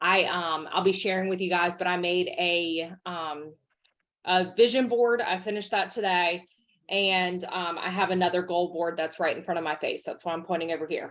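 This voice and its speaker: This woman's voice sits fairly low and keeps a fairly even intonation at a moderate pace. The recording is very clean, with a silent background. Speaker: direct sales team leader. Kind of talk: team meeting talk.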